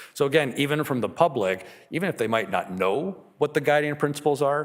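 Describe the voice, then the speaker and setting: With a fairly high pitch and vocal fry, a man speaks at a fairly quick pace using lively intonation. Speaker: electoral boundary consultant presenting to council. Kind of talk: public presentation to council. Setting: council meeting. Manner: fast.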